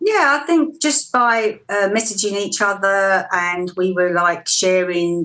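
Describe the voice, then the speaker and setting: A woman speaks very slowly with an English accent. Her medium-pitched voice has a bright, sharp tone. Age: 60s. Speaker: interviewee, weight loss. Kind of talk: TV interview.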